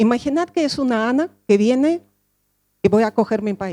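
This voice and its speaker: A woman with a dark, mellow tone and lively intonation speaks at a moderate pace in a dry, close sound with no echo. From Russia (Soviet Union). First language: Russian (speaking Spanish). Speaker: social educator, speaker. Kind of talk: conference talk.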